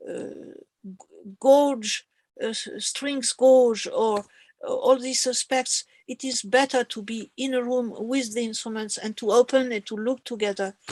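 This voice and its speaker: A woman with a non-native accent speaks at a high pitch and a fairly slow pace. Her intonation is fairly even, her loudness swings widely, and the sound is dry and close with no echo. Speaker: harpsichord lecturer. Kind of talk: farewell remarks of online lecture course. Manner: halting.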